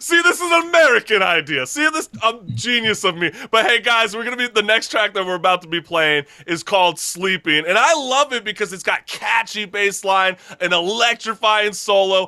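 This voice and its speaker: Upbeat and energetic, a man projects his raised voice at a high pitch with very wide pitch swings and a moderate pace, the sound dry and close with no echo. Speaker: talk show host. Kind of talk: casual interview hosting. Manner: upbeat, energetic.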